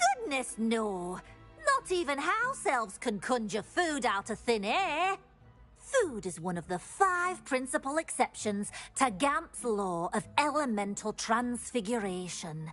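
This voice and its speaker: A put-on, female-sounding character voice, high-pitched with very wide swings and a fairly slow pace, over faint music in the background. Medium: video game. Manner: refers to self in third person.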